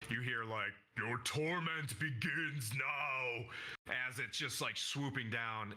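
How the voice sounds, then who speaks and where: At a fairly slow pace, a man puts on a character voice with a medium pitch. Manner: menacing, ominous.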